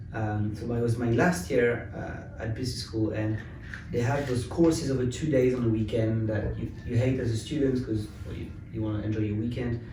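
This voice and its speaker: With a French accent, a man speaks at a fairly quick pace and a medium pitch, his pitch varying in an ordinary way. Noticeable background noise and audible room echo are present. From France, Paris. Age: 30s. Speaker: tech company founder. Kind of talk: interview.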